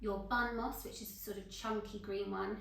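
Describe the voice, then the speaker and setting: Speaking with a British accent in a fairly high, monotone, flat voice, a woman is heard amid audible room echo and noticeable background noise. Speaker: florist tutor. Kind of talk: tutorial.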